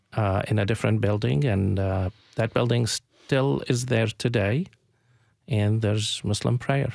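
Over a silent background in a very clean recording, the speech goes at a fairly slow pace with ordinary pitch variation and very even loudness. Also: man, medium pitch for a man. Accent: Arabic. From Palestine (Jerusalem). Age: 50s. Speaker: community organization founder. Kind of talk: radio interview. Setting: studio. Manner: halting, many fillers.

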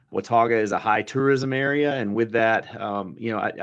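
Against a quiet background, the speaker uses a Southern US accent, ordinary pitch variation and a fairly quick pace. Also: man. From US South, east central Alabama. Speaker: agricultural extension director. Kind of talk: radio interview. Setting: phone call.

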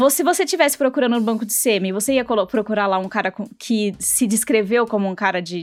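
A woman with a fairly high pitch and an unremarkable speaking voice, fairly quick, with ordinary pitch variation. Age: 30s. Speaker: podcast host. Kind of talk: scripted conversational podcast.

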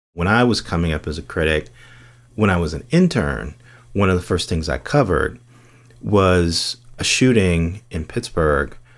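A man with a very deep, low pitch and vocal fry speaks at a moderate pace with lively intonation and long, frequent pauses. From US Midwest (Gary, Indiana). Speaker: TV critic. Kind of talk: interview. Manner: hesitant fillers.

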